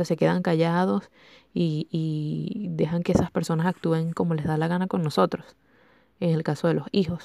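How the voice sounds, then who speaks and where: Speaking with a Venezuelan accent, a woman has a fairly low pitch. She keeps a moderate pace and ordinary pitch variation. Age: 20s. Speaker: podcast host. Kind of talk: casual chat. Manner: animated.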